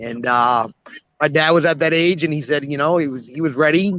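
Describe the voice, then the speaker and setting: Speaking at a fairly quick pace, a man with a fairly high pitch and a strong Boston accent is heard in a dry, close recording with no echo. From New England, Boston area. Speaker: retired auto repair shop owner. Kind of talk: casual panel chat.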